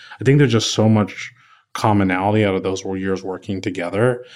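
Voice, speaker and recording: A man with an American accent has an unremarkable speaking voice at a fairly low pitch. His intonation is fairly even, and the recording is very clean with a silent background. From Kansas City, Missouri. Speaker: architect. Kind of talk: interview. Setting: office.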